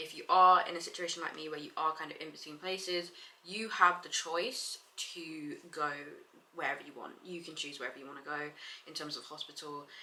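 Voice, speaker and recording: A woman with a London accent speaks at a fairly quick pace with big swings in loudness. Noticeable background noise sits under her voice. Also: fairly low pitch for a woman. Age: 20s. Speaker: vlogger. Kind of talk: casual vlog. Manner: animated.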